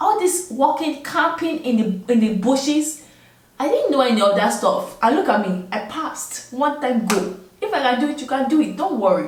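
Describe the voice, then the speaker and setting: Animated and high-pitched, a woman with a non-native accent swings her pitch very widely amid audible room echo and noticeable background noise. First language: not English. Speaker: army officer. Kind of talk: advice vlog. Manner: casual, animated.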